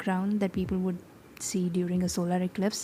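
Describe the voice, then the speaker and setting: A woman mumbling. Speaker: digital artist. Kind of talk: tutorial voiceover. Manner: casual, conversational.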